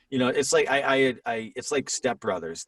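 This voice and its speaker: A man speaks with an unremarkable speaking voice at a moderate pace. The sound is dry and close with no echo, over a quiet background. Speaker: voice actor, TikTok creator, dad. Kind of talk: casual podcast interview talk.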